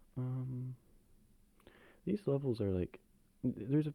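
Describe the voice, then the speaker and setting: A man speaks in a soft-spoken way with a dark, mellow tone. The sound is dry and close, with no echo. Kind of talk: casual talk to camera, soft-spoken ASMR chat. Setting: low-quality home camera recording.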